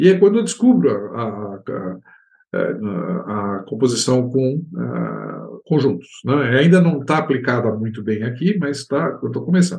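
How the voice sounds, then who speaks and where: Somewhat breathy, a man with a medium pitch speaks at a fairly slow pace with very wide pitch swings. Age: 70s. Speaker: composer and music professor. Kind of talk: interview. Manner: halting.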